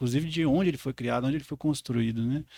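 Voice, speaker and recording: Speaking very fast in a southern Minas Gerais accent, a man with a medium pitch and a dark, mellow tone keeps his intonation fairly even, with a dry, close sound and no echo. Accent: rural southern Minas (caipira). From rural southern Minas Gerais, Brazil. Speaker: podcast co-host, geographer. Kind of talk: podcast conversation. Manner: halting, many repetitions and fillers.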